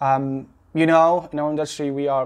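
A man with an Arabic accent and a fairly high pitch speaks at a moderate pace, his intonation fairly even. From Gaza, Palestine. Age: young. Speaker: visual effects technical director. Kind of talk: casual interview. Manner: halting, many repetitions and false starts.

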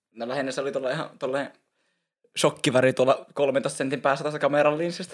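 The man's pace is very fast and his pitch fairly high. His intonation stays monotone and flat. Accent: northern Finnish. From northern Finland, Oulu region. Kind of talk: casual chat. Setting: Instagram live stream on camera.

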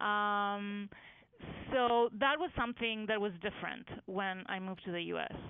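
Speaking fairly slowly, a woman holds a medium pitch with ordinary pitch variation. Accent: Greek. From Greece. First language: Greek. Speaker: medical imaging researcher. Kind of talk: interview. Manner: halting with many fillers.

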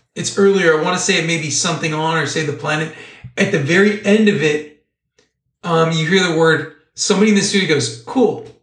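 Amid audible room echo, a man talks fairly quickly at a high pitch with ordinary pitch variation. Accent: American. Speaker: podcast co-host. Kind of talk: casual chat.

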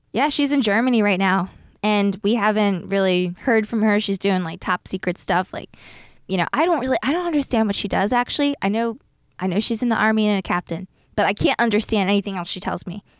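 In a normal speaking voice, a woman with an American accent talks at a fairly quick pace and medium pitch, with ordinary pitch variation, on a very clean recording with a silent background. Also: dry, close sound with no echo. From South Jersey, US Northeast. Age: 30s. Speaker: former media producer, haunted house operator. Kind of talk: casual chat.

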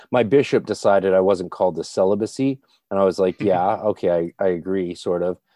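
A man speaks at a fairly quick pace with a Canadian accent. His voice is very deep and low, with ordinary pitch variation. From Canada. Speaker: occult practitioner and podcaster. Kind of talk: casual chat.

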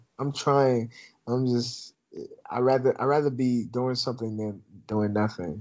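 An unremarkable speaking voice from a man, medium in pitch, fairly slow, with fairly even intonation. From Minnesota, Twin Cities. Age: 20s. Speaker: student podcaster. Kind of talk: casual interview chat. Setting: remote call.

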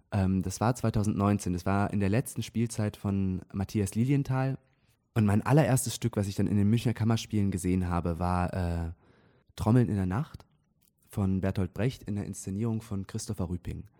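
A man's voice, fairly low in pitch, has a dark, mellow tone. The recording is very clean with a silent background, and the sound is dry and close with no echo. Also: ordinary pitch variation, moderate pace. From Switzerland, near Zurich. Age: 20s. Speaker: stage actor. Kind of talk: casual interview. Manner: hesitant, many fillers.

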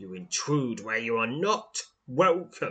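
Putting on a growling character voice, a man speaks at medium pitch and a fairly slow pace, his pitch swinging very widely. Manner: threatening, guarding.

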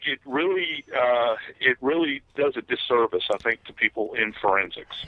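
With a Southern US accent, a man talks at a medium pitch with ordinary pitch variation. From US South. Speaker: retired death investigator and author. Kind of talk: interview.

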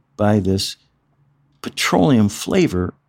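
In a very clean recording with a silent background, a man speaks with a Midwestern American accent. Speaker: former winemaker. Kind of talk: interview. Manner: halting.

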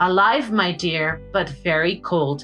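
A woman puts on a shaky character voice and talks at a fairly slow pace. Clear music plays in the background. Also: medium pitch for a woman.

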